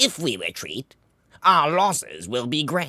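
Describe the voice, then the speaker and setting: The man puts on a character voice. He delivers it at a fairly slow pace. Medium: read story. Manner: impatient, forceful.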